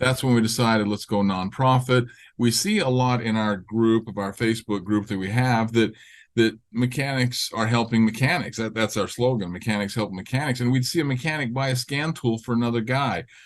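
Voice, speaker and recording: The background is quiet as a man speaks at a fairly quick pace. His medium-pitched voice keeps fairly even intonation. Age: 60s. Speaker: auto repair business owner. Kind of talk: podcast interview. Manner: halting.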